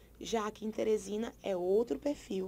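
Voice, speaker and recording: In a very clean recording with a silent background, a woman talks at a moderate pace with fairly even intonation. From Brazil, Paraíba. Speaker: teacher. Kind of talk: lecture.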